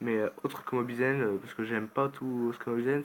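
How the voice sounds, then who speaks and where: A man at medium pitch speaks at a fairly quick pace with ordinary pitch variation. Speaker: gaming youtuber. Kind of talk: gameplay commentary. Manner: halting, many filler sounds.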